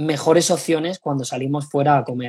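This man's voice is fairly high in pitch and somewhat breathy, with fairly even intonation at a moderate pace. The recording is very clean, with a silent background. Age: 20s. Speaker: sports nutritionist. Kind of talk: interview.

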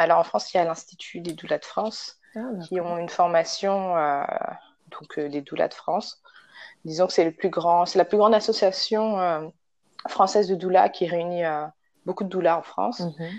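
A woman's fairly low voice at a moderate pace, with big swings in loudness, fairly even intonation, and long, frequent pauses. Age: 20s. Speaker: doula. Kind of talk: casual interview.

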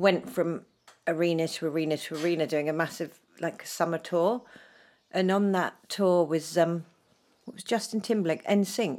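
In a very clean recording with a silent background, a woman with a southern English accent speaks in a fairly low pitch at a moderate pace. Her pitch variation is ordinary, and her loudness swings widely. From southern England (Dorset), shaped in London. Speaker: former professional dancer. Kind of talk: casual chat.

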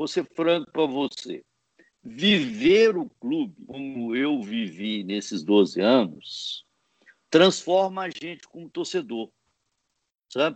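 The delivery is very slow, with long, frequent pauses. Pitch swings very widely and loudness rises and falls sharply. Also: man, fairly high pitch for a man. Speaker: football club executive and law professor. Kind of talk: interview. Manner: halting, many hesitations.

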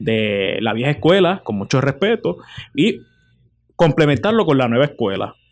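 This man has a normal speaking voice, pitched fairly high, at a moderate pace. The recording is very clean, with a silent background. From Puerto Rico, Morovis. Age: 20s. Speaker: journalist. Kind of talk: interview.

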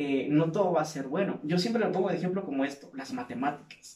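There's audible room echo around a man's voice. He has a fairly high pitch and ordinary pitch variation. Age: 50s. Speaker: podcast host, clinical psychologist and fitness instructor. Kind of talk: casual interview chat.

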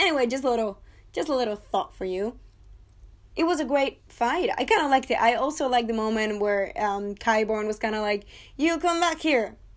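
A woman's high, animated voice with a non-native accent, lively intonation and a fairly quick pace, on a very clean recording with a silent background. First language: not English. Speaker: TV review podcaster. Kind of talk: casual monologue review.

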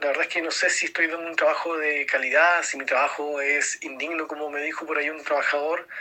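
A man talks at a very fast pace with hardly any pauses. Noticeable background noise is present. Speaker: business owner, listener. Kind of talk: recorded voice message. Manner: halting, repeats words.

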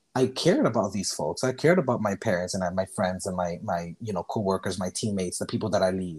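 A man with an American accent, fairly low-pitched with ordinary pitch variation, at a very fast pace with hardly any pauses, on a very clean recording with a silent background. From Miami, Florida (born Costa Rica). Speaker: podcast guest. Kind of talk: casual chat.

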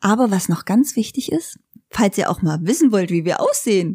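A woman's ordinary speaking voice at medium pitch, with lively intonation at a moderate pace, in a dry, close sound with no echo and a very clean recording over a silent background. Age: 30s. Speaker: motorhome traveller. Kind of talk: casual chat. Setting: living room, rain outside.

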